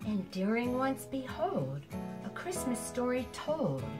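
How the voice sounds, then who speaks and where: The speaker moves at a very slow pace with very wide pitch swings. Clear music plays in the background. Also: woman. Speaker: amateur poet. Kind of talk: poetry reading. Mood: warm, expressive. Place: home room. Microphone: camera far.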